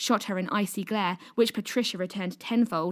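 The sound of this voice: An unforced reading voice carries the passage.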